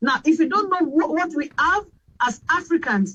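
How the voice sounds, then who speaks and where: A woman with a Nigerian accent talks at a moderate pace with very wide pitch swings. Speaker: radio host. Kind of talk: panel discussion.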